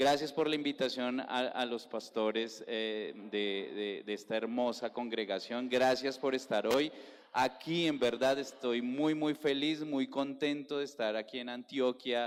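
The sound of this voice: A man with a Bogotá accent speaks at medium pitch and a fairly slow pace. His intonation is fairly even, with few pauses. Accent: Colombian, Bogotá.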